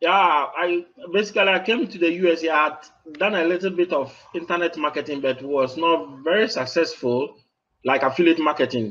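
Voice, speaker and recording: The man speaks with a Ghanaian accent, his voice high and his pitch varying in an ordinary way. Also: fairly quick pace. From Ghana, West Africa. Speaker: online marketer. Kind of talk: interview. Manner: halting.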